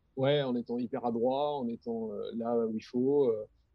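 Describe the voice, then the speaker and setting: This man speaks in a medium pitch. His intonation is monotone and flat. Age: 30s. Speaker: graphic designer and director. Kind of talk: casual chat. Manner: halting.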